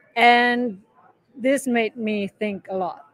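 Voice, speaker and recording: A woman with a German accent speaks with ordinary pitch variation in a dry, close sound with no echo. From Germany, Munich. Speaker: artist. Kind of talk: interview conversation. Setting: live event venue.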